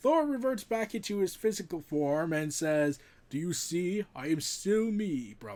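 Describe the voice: Lively intonation over plain reading aloud.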